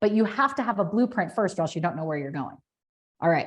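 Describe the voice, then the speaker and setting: A woman's animated, somewhat breathy voice. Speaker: business coach. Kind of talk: webinar presentation. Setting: online webinar. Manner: fast.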